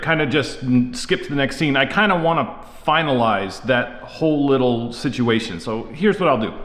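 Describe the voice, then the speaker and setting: A man at a fairly quick pace, with very wide pitch swings, amid audible room echo and noticeable background noise. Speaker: gaming content creator. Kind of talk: tutorial. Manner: fast.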